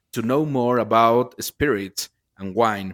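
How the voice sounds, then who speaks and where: Recorded very cleanly with a silent background and a dry, close sound with no echo, a man at medium pitch speaks at a very slow pace with ordinary pitch variation. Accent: Mexican. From Mexico, Jalisco. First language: Spanish. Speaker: cigar blender and company co-founder. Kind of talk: podcast interview. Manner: halting, repeats words while searching for English.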